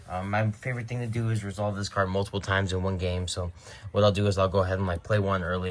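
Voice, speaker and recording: A man speaks in a very deep, low voice at a very fast pace. His intonation is flat and monotone. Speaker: card game deck reviewer. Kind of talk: deck profile tutorial. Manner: casual, many fillers.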